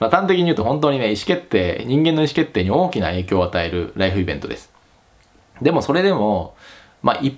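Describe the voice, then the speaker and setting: Very wide pitch swings run through a man's very fast speech. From Japan. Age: 30s. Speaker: YouTube career advice host; career advice channel host. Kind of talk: casual vlog talk to camera; casual vlog chat. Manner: casual, with many fillers. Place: home room.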